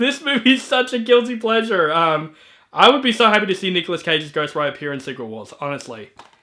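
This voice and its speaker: A man speaks in an animated tone at a very fast pace, his high pitch swinging very widely and his loudness rising and falling in big swings. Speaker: movie reviewer YouTuber. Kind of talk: casual monologue. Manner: stutters, frequent fillers; casual, animated.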